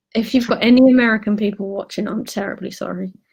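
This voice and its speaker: A woman with a British accent, fairly high-pitched, very fast and monotone, with flat intonation. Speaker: guest reading example words in an English accent lesson.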